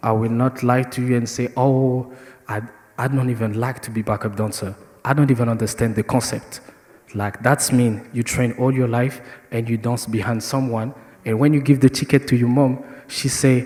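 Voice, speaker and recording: Speaking at a moderate pace with a French accent, this voice stays monotone, its intonation flat. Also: man, medium pitch for a man. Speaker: dancer. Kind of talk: panel discussion.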